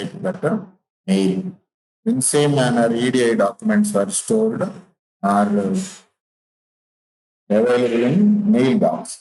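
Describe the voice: A man talks at a fairly slow pace, his medium-pitched voice dark and mellow in tone. His pitch swings widely.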